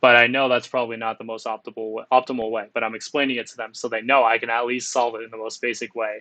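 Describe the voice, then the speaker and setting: Talking at a very fast pace with hardly any pauses, a man keeps a monotone, flat intonation while his loudness swings widely. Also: medium pitch for a man. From Windsor, Ontario, Canada. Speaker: software engineer giving career talk. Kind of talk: presentation to students.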